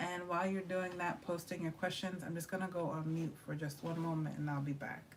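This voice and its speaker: Quiet and at very even loudness, the voice moves at a fairly quick pace with hardly any pauses and a monotone, flat intonation, with noticeable background noise and audible room echo. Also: woman, fairly low pitch for a woman. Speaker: tarot reader. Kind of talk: livestream tarot reading chat. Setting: livestream.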